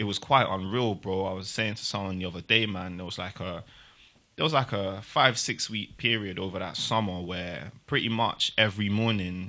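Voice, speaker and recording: A man with a South London accent speaks at a moderate pace in a bright, sharp tone, his intonation fairly even but his loudness swinging widely. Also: fairly low pitch for a man, very clean recording, silent background. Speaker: multidisciplinary artist and youth support worker. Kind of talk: podcast interview answer. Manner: casual.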